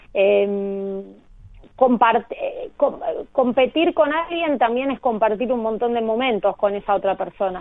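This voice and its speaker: A woman with a plain, everyday voice, fairly high in pitch, with lively intonation and a fairly slow pace. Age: 30s. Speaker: professional padel player. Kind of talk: interview.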